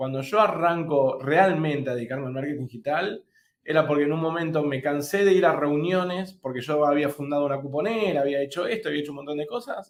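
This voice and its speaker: This man's pitch is fairly high, with ordinary variation. He talks at a fairly quick pace. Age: 40s. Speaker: digital marketing course host. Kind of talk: webinar panel discussion. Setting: live online webinar. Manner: halting, many repeated words.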